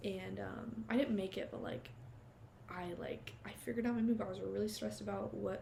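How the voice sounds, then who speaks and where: A woman talks at a fairly quick pace over noticeable background noise, with audible echo from the room. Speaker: vlogger starting a podcast. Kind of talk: casual monologue to camera. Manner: fast; animated. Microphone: cheap little clip mic.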